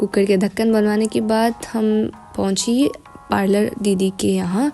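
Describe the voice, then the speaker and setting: Music plays in the background as someone with an Arunachal accent speaks with fairly even intonation. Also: woman. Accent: Arunachal Hindi. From Arunachal Pradesh, India. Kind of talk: casual vlog voice-over. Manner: careful, effortful Hindi.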